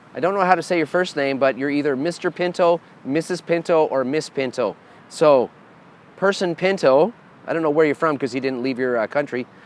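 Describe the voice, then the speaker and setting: A man with a Canadian accent, a normal speaking voice, fairly high pitch and ordinary pitch variation. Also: fairly quick pace. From Canada. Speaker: metal guitarist and band leader. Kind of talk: answering fan questions. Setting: bar.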